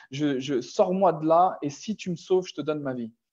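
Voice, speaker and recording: A man talks at a moderate pace in a fairly high pitch. His tone is dark and mellow, with ordinary pitch variation. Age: 30s. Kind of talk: personal testimony. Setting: online video call. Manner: halting, many hesitations.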